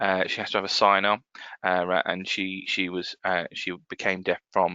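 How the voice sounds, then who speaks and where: A man with an English accent at a moderate pace. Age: 30s. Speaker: accessibility consultant. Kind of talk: webinar presentation. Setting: office desk, online webinar. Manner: halting, with many fillers and restarts.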